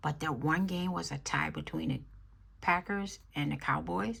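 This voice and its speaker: The voice is quiet and moves at a moderate pace. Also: woman. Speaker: budgeting YouTuber. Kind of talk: cash stuffing tutorial. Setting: at home, early morning. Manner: quiet, talking low.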